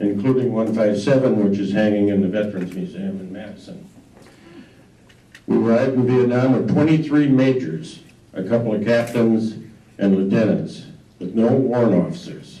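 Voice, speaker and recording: This man has an American accent and a medium pitch, speaking at a moderate pace with ordinary pitch variation. Audible room echo surrounds his voice. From Wisconsin, US Midwest. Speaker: war veteran. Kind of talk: talk to a local history audience. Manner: halting, many fillers.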